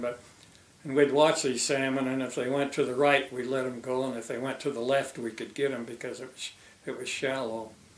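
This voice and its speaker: Amid noticeable background noise and audible room echo, a man of medium pitch talks at a fairly quick pace in a flat monotone. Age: 80s+. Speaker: retired fisheries biologist. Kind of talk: oral history interview. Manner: halting.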